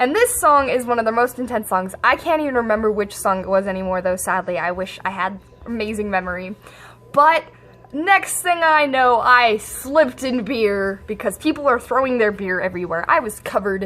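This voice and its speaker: With music in the background, a woman speaks fairly quickly at a fairly high pitch with lively intonation. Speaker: vlogger. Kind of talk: casual storytelling vlog. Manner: fast.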